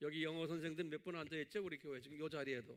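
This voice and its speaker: A man speaks with a fairly high pitch. The tone is bright and sharp. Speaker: pastor teaching theology. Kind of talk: sermon-style Bible lecture. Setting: church with online viewers. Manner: not fast, by own account.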